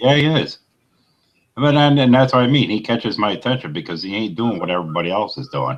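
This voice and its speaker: With an American accent, a man of medium pitch talks very fast with lively intonation. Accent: New York accent, comes out occasionally. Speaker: motorcycle vlogger. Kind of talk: casual chat.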